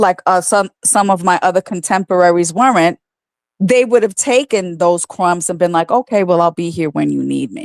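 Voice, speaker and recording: This woman has an ordinary speaking voice, speaking at a moderate pace with medium pitch and ordinary pitch variation, recorded dry and close with no echo. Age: 60s. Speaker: guest. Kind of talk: casual chat. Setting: livestream.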